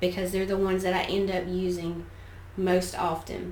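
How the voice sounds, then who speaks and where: A woman with a Southern US accent at medium pitch and moderate pace, amid audible room echo. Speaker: artist, art teacher. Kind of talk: studio tour tutorial. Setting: home art studio. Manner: casual, conversational.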